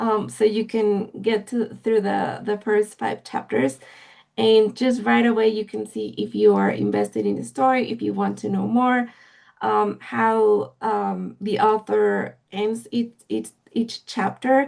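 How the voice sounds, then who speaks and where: A woman talks at a fairly slow pace. She has a Spanish accent. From Mexico. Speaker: literary agent. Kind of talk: interview. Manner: halting, many fillers.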